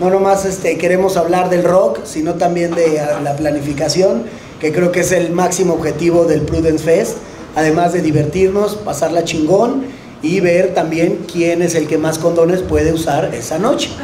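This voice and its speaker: There is light background noise and audible room echo. A man talks at a moderate pace in a high pitch with fairly even intonation. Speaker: panelist. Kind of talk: panel talk to audience. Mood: relaxed, joking. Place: cafe. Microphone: handheld.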